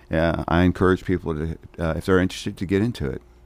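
Very deep and low, a man's voice carries a Southern US accent on a very clean recording with a silent background. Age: 60s. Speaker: county mayor. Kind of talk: radio interview. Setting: studio.

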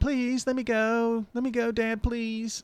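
A put-on character voice, fairly high in pitch, fairly slow and monotone with flat intonation. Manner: pleading.

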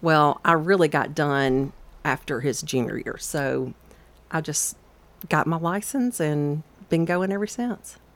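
This woman has a very deep, low pitch and a Southern US accent. She talks at a fairly slow pace. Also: lively intonation. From Georgia, Atlanta area. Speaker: realtor and cookbook author. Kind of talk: radio interview. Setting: radio studio.

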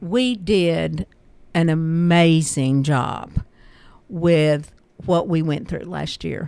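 A woman with fairly low pitch and a dark, mellow tone speaks at a very slow pace, with ordinary pitch variation and long, frequent pauses. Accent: Tennessee. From US South, Murfreesboro, Tennessee. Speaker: school board vice chair. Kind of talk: radio interview. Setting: radio studio.

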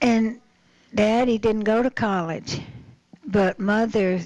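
A fairly slow, flat, monotone delivery in an American accent. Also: woman. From Murfreesboro, Tennessee. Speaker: guest. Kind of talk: casual radio interview.

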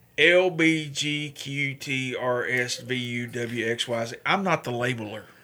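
This man has a bright, sharp tone. His pitch sits in the medium range. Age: 40s. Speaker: radio host and veterans advocate. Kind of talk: casual chat. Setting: studio.

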